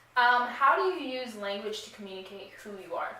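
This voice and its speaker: A woman's high-pitched voice at a moderate pace, with audible room echo and noticeable background noise. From Queens, New York. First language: Arabic. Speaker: student. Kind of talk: casual interview for class project.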